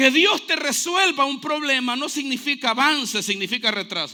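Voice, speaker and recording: A man speaks at a moderate pace in an extremely high pitch. His voice is raised and projected, with a bright, sharp tone. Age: 40s. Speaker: pastor. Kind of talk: sermon. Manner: animated.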